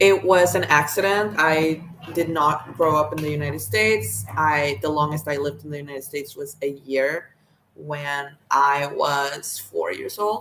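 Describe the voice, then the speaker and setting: A voice with an American accent comes through over noticeable background noise. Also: woman. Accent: sounds American. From Mexico. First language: Spanish. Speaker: vlogger. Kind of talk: casual monologue. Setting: recording to camera. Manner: hesitant, many fillers.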